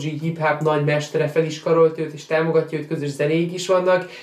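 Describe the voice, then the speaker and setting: A man speaks at a moderate pace in a fairly high, monotone, flat voice. Audible room echo surrounds him. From Hungary. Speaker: YouTuber and sneaker event organizer; sneaker youtuber. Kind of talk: vlog-style monologue. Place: home room.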